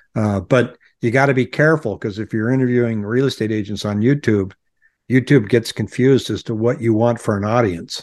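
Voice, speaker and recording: A man speaks in a normal speaking voice at a medium pitch with fairly even intonation. The background is quiet. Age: 60s. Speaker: real estate agent and YouTuber. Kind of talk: casual interview.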